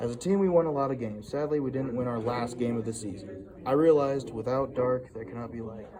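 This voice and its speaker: A man with a medium-pitched, shaky voice speaks at a moderate pace with ordinary pitch variation. Audible room echo and noticeable background noise surround him. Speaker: student. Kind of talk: reading aloud.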